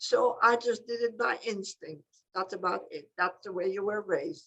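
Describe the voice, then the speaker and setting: Her tone bright and sharp, a woman speaks at a moderate pace with a fairly high pitch and ordinary pitch variation. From Belgium. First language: not English. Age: 90s. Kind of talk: interview answer, personal conversation.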